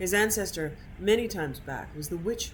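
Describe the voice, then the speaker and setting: With an American accent, a woman speaks at a moderate pace and ordinary pitch variation. Room echo is audible. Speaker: video game streamer. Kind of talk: reading aloud. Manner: casual.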